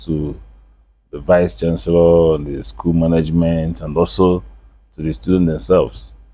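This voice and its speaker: A man with a Nigerian accent speaks at a moderate pace in a very deep, low pitch with a dark, mellow tone. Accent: Nigerian English, Igbo. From Nigeria, Onitsha, Anambra State. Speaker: traditional chief and businessman. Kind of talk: interview. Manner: hesitant, with fillers.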